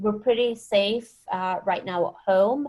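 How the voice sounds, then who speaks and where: Very slow speech comes from a woman with a Scottish accent and a medium pitch. Her tone is dark and mellow, her intonation fairly even. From Scotland. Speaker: wine scientist. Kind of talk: webinar interview. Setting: video call from home.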